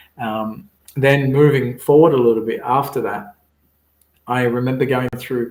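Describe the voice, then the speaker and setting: Somewhat breathy, a man's voice sits at a medium pitch with ordinary pitch variation. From Egypt, moved to Sydney as a child in 1991. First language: Arabic. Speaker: business strategist and mindfulness coach. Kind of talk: interview. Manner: hesitant fillers, frequent repetitions.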